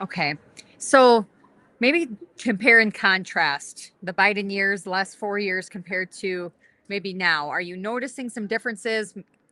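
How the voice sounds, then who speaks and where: With a South Dakota accent and a bright, sharp tone, the speaker moves at a moderate pace with ordinary pitch variation and big swings in loudness, in a dry, close sound with no echo. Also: woman, medium pitch for a woman. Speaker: podcast host. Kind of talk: interview. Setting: at a conference.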